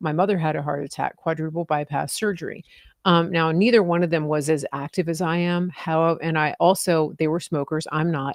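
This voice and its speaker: A woman with a normal speaking voice, fairly low in pitch, with fairly even intonation and a fairly quick pace. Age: 60s. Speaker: talk show host. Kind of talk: interview.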